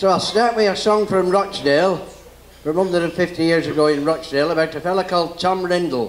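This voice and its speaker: In a Lancashire accent, the voice races at a very fast pace with fairly even intonation and very even loudness, over noticeable background noise. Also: man, high pitch for a man. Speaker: folk entertainer and dance caller. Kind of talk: live talk to an audience. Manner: chatty, humorous.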